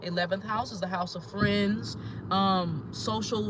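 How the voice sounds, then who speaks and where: A high-pitched man amid noticeable background noise and audible room echo. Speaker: spiritual teacher and astrologer. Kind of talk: teaching talk. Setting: in a car, pulled over. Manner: fast.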